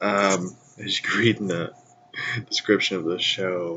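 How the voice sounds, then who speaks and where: Against noticeable background noise, the speaker talks at a fairly slow pace in a monotone, flat intonation. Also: man. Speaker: podcast host. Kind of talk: casual monologue.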